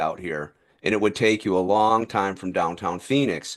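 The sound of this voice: A fairly low male voice with an American accent at a moderate pace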